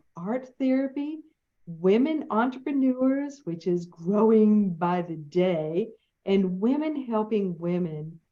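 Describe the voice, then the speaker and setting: A woman in a Southern US accent speaks with a fairly high pitch that makes very wide swings. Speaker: interview host.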